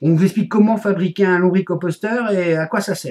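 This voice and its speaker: This is a man's voice. His pitch is high. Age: 40s. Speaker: vlogger. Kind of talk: casual video blog. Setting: home office. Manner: mumbled, hesitant.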